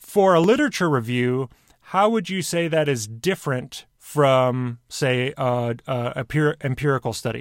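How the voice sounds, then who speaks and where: A man with an ordinary speaking voice talks at a fairly slow pace and a medium pitch, with lively intonation. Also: very clean recording, silent background. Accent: American. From Michigan, US Midwest. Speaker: podcast host. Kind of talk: interview.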